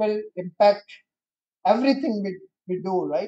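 This man talks at a fairly slow pace with fairly even intonation and a dark, mellow tone. His pitch is high, and the background is quiet. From India. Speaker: electronics industry leader; guest. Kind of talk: presentation. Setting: stage with audience. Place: hall. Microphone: podium.

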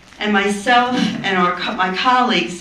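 Noticeable background noise and audible room echo surround the recording. A woman speaks at a medium pitch and fairly slow pace with ordinary pitch variation. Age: 60s. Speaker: social worker and anti-racism trainer. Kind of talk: personal testimony at a town hall panel. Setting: conference town hall with audience.

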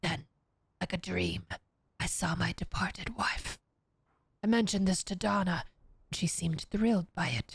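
Long, frequent pauses break up speech at a moderate pace, recorded in a dry sound with no echo against a quiet background. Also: woman. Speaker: streamer. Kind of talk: reading aloud. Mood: calm, narrative reading tone. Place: home room. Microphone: studio mic.

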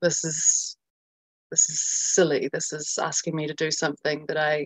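A woman in a New Zealand accent, fairly slow pace, quiet background. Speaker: journalist and documentary filmmaker; journalist. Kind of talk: interview. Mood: earnest, somewhat frustrated. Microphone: video call.

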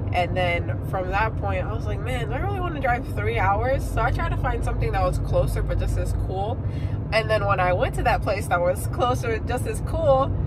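Through loud background noise, a woman speaks at a moderate pace, the sound dry with no echo. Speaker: travel vlogger. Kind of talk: casual vlog chat. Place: car. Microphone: phone near.

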